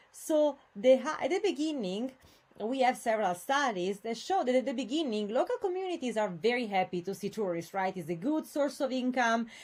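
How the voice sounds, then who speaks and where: A woman with a high-pitched voice speaks at a fairly quick pace, her pitch swinging very widely. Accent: Italian. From Italy, Venice area. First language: Italian. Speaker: university lecturer. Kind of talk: lecture. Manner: hesitant, many fillers.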